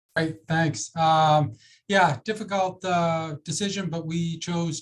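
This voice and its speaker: A man talks with a Boston accent at a fairly high pitch. His pitch varies in an ordinary way. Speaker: ambulance service executive. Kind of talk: panel discussion.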